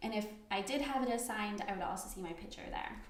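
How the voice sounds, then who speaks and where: A woman speaks with audible room echo. Noticeable background noise sits behind her. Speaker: software trainer. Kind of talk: tutorial. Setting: live online class. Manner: soft-spoken. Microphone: too quiet for some listeners.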